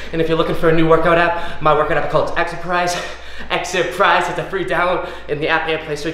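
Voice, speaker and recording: A man speaks at a very fast pace with fairly even intonation, with light background noise and audible room echo. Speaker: fitness trainer. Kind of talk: workout tutorial and outro vlog chat. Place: gym.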